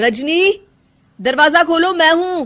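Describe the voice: A woman's put-on character voice, extremely high in pitch, fairly bright in tone, slow in pace and lively in intonation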